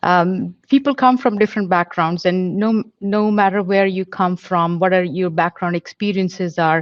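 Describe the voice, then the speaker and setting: A woman speaks in an Indian accent. Her pitch variation is ordinary. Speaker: police officer. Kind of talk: panel Q&A answer. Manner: halting, many fillers.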